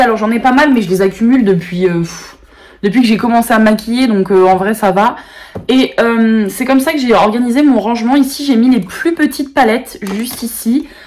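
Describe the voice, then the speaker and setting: A woman at a fairly quick pace, her pitch fairly high, with noticeable background noise. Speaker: beauty YouTuber. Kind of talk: casual product show-and-tell video.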